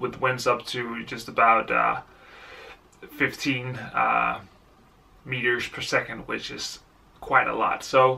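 A man at a very slow pace, with long, frequent pauses and big swings in loudness. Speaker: amateur cyclist vlogger. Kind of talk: casual vlog chat. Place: home room. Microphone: phone near.

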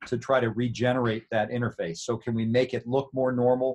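At a fairly quick pace, a man talks in an ordinary speaking voice at medium pitch with fairly even intonation. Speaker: orthopedic surgeon. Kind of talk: interview.

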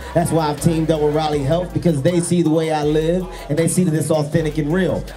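Fairly quick speech from a man, light background noise underneath. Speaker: event host addressing runners. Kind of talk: motivational speech to crowd. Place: street. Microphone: handheld.

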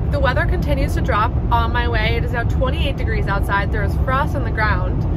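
A woman's voice amid loud background noise. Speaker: vlogger on a solo road trip. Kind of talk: casual vlog chat. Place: car. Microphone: phone near.

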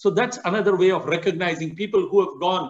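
A man's pitch varies in an ordinary way, and the background is quiet. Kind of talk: Q&A answer, address to members. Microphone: video call.

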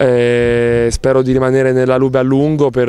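A man speaks at a fairly slow pace in a dry sound with no echo, with light background noise. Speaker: professional volleyball player. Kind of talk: interview. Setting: on camera. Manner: halting. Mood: calm, thoughtful. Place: garden. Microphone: handheld.

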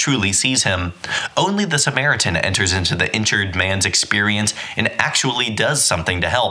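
Fairly quick speech from a man at medium pitch, against noticeable background noise. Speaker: audiobook narrator. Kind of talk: audiobook reading of a nonfiction book, read aloud. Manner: steady, measured, earnest narration; casual, chatty intro and outro.

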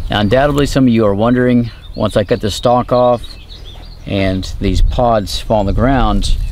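Recorded dry with no echo and light background noise, a man speaks at a moderate pace. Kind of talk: tutorial. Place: open country.

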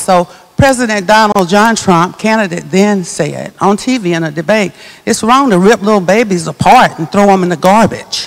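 Over a quiet background, a woman talks at a moderate pace in a medium pitch with ordinary pitch variation. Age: 60s. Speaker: evangelist. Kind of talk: panel discussion. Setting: stage with audience. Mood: earnest, emphatic testimony. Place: church. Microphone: handheld.

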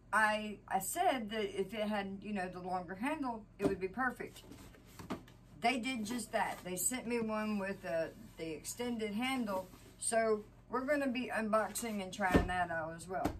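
A woman talks at a moderate pace with ordinary pitch variation against noticeable background noise. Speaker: home vlogger. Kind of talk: casual vlog chat. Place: home room. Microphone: camera far.

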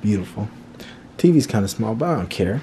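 A man's fairly low-pitched voice over light background noise. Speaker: vlogger. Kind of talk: casual vlog chat. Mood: upbeat, pleased. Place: home room. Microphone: phone near.

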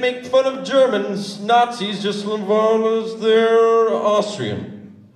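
There is audible room echo as a man speaks. Light background noise sits underneath. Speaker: slam poet. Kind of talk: live spoken word performance. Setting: live venue. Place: stage. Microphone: handheld.

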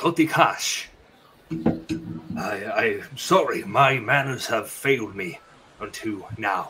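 A man speaks at a very slow pace and medium pitch. Long, frequent pauses break up his speech. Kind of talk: fantasy roleplay. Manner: formal, reserved, measured.

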